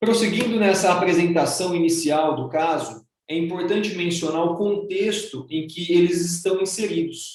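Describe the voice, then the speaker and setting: A man's high voice at a moderate pace, with ordinary pitch variation and hardly any pauses. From Brazil. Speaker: human rights professor and public defender. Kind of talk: lecture. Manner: formal.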